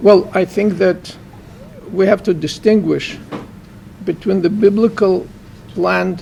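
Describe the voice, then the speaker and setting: Over noticeable background noise, a man talks at a high pitch with a Russian accent. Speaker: professor and author. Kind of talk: book launch Q&A interview.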